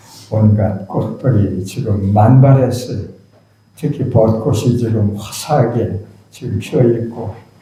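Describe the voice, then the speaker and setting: A man speaks very slowly with ordinary pitch variation, over noticeable background noise and audible room echo. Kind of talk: sermon.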